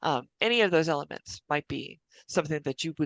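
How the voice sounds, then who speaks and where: Against a quiet background, a woman talks at a fairly quick pace in a very deep, low pitch with vocal fry. The sound is dry and close, with no echo. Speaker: city planning staff presenter. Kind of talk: staff presentation at public meeting. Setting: public commission meeting.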